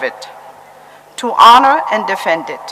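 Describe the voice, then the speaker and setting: A woman speaks at a fairly slow pace in a fairly high voice, her pitch swinging very widely. Noticeable background noise runs underneath. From Germany. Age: 70s. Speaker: Holocaust survivor. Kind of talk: testimony. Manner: formal.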